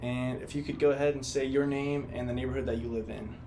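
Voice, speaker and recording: Over noticeable background noise and audible room echo, a man talks fairly quickly at a medium pitch in a monotone, flat intonation. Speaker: student interviewer. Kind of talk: interview.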